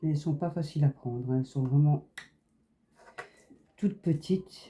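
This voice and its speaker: Relaxed in tone, a woman speaks at a very deep, low pitch with a dark, mellow, somewhat breathy sound, ordinary pitch variation and a moderate pace. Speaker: crafts YouTuber. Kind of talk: casual chat while crafting. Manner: relaxed, chatty.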